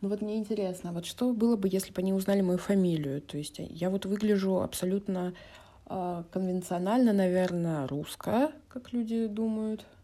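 At a moderate pace and medium pitch, a woman speaks with ordinary pitch variation and a dark, mellow tone. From Russia, Vladikavkaz (North Ossetia), early years in Moscow. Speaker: podcast guest. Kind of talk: monologue.

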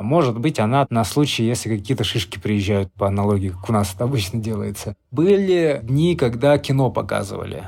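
Using a plain, everyday voice, a man speaks at a medium pitch with lively intonation and hardly any pauses. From Russia. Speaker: former prisoner. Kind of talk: interview.

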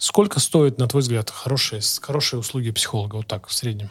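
His voice comes across somewhat breathy. The man talks fairly quickly. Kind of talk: casual interview chat. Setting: video podcast.

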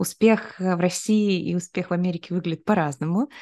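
This woman's voice sits fairly low in pitch. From Kyrgyzstan region, near China. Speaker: neuroscience institute founder and author. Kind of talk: interview.

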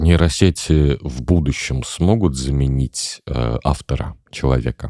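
A man's very deep, low pitch at a very slow pace, in a dry, close sound with no echo. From Tatarstan, Chistopol. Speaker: podcast host. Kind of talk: casual chat.

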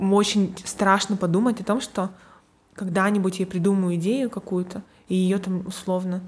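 Her delivery is monotone and flat at a moderate pace. The woman sounds somewhat breathy. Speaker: graphic designer. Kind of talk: casual interview.

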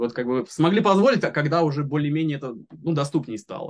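A man talks at a very fast pace in a fairly high pitch. His pitch swings very widely. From Moscow region, Russia. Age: 30s. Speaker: software developer. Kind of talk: interview. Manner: halting.

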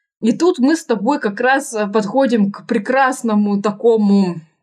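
At a fairly slow pace, a woman talks in a fairly high, somewhat breathy voice with ordinary pitch variation. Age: 20s. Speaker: podcast host. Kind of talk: casual interview chat.

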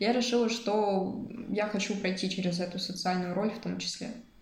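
Noticeable background noise and audible room echo surround a woman speaking at medium pitch with ordinary pitch variation. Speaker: psychology student and freelance social media manager. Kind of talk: interview.

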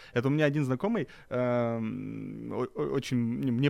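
In a very clean recording with a silent background, a man uses an unremarkable speaking voice at medium pitch with ordinary pitch variation. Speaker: podcast host. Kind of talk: casual chat.

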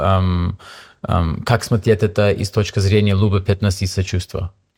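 A man with an English accent speaks at a moderate pace in a fairly low, somewhat breathy voice with monotone, flat intonation, on a very clean recording with a silent background. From Canada, Toronto. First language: English (speaking Russian). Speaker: yoga teacher. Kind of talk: interview. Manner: halting.

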